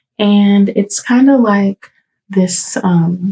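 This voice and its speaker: Quiet and somewhat breathy, a woman whispers. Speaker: hairstylist and salon owner. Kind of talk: casual vlog update. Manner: quiet, near whispering; hesitant, many fillers.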